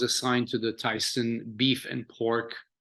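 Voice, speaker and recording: A man speaks with a French accent. His tone is bright and sharp. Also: quiet background. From France. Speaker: chef. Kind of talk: interview. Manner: halting, many fillers.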